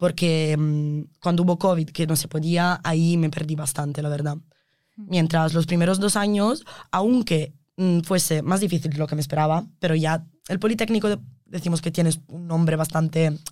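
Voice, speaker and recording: At a moderate pace, a woman speaks in a fairly low pitch with a dark, mellow tone and fairly even intonation. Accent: Italian. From Italy. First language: Italian (speaking Spanish). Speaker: environmental engineering student. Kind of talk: interview. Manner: halting.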